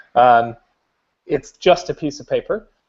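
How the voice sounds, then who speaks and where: An American-accented man. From United States. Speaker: maker of conductive materials and hardware. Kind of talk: product demo in a live video chat.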